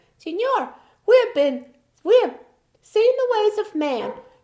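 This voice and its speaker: A woman's put-on character voice with very wide pitch swings. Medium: read story. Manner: chattering.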